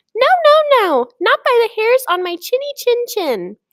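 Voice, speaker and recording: Putting on a character voice, a woman squeaks out her lines at an extremely high pitch. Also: moderate pace. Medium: read story.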